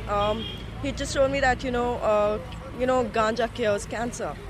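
Crowd noise fills the background. A woman talks at a fairly slow pace in a fairly high pitch. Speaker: caregiver. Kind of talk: testimony. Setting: outdoors.

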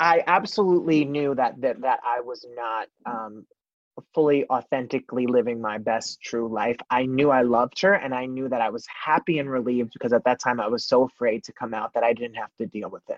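With an American accent and a normal speaking voice, a man talks at a medium pitch and a fairly quick pace, with ordinary pitch variation in a dry, close sound with no echo. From New Jersey. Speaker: singer and actor. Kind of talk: interview.

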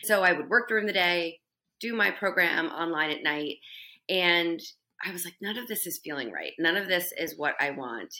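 A woman's bright, sharp voice, fairly low in pitch, at a moderate pace with ordinary pitch variation, over a very clean recording with a silent background. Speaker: career coach and education business owner. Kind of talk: casual chat.

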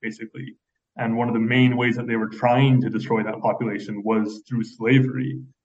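The clip has an ordinary speaking voice that keeps a moderate pace. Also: man. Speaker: human rights advocate. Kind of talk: radio interview.

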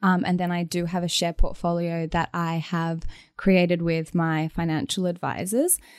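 A completely flat, monotone delivery in an Australian accent at a moderate pace, recorded very cleanly against total silence. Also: woman, fairly low pitch for a woman. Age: 20s. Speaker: DJ and music producer. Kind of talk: interview.

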